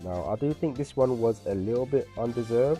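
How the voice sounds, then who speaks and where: Music plays in the background as a man talks at a fairly quick pace and medium pitch. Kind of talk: card game analysis commentary.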